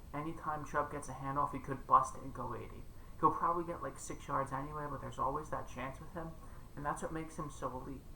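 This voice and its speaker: Audible room echo and noticeable background noise fill the recording as a man talks at a very fast pace. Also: big swings in loudness. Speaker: fantasy football content creator. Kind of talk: casual commentary monologue. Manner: quiet.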